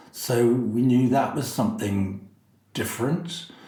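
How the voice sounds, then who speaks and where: A man speaks at a medium pitch in a dark, mellow tone that is somewhat breathy. Audible room echo surrounds his voice. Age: 60s. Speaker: drag performer. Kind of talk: interview.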